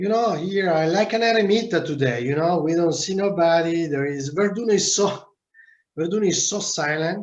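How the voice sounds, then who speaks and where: Audible room echo surrounds a man speaking with an Italian accent at a high pitch, with ordinary pitch variation. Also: moderate pace. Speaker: winemaker. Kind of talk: video call interview. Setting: video call. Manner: halting.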